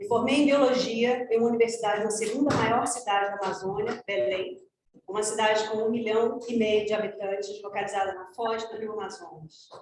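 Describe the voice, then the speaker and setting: Talking very fast in a fairly high pitch with fairly even intonation, a woman is heard with audible room echo. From Brazilian Amazon. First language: Portuguese. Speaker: ecologist. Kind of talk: conference presentation. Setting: conference, in person and online.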